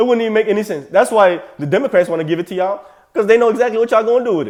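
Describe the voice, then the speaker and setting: A man with a slight African accent talks at a very fast pace in an animated tone, his pitch high. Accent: slight African accent, on a few words. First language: non-English African language. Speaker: political commentator reacting to clips. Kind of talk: reaction commentary.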